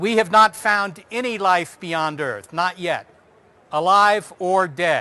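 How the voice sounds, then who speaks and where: A man speaks very slowly in a raised, projected voice, his pitch high and his tone bright and sharp, with ordinary pitch variation. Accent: American. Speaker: astronomer giving public talk. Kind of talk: public lecture.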